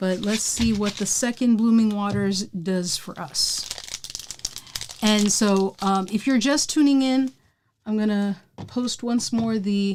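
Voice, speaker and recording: Relaxed in tone, a woman talks at a very slow pace with ordinary pitch variation. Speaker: pokemon card collector streamer. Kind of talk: live stream pack opening. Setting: live stream. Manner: casual, relaxed.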